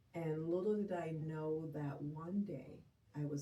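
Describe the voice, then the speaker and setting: A woman with a Jamaican accent speaks at a fairly slow pace in a very deep, low pitch, her somewhat breathy voice dark and mellow in tone, with ordinary pitch variation and audible room echo. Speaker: grief and bereavement counselor. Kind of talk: interview conversation.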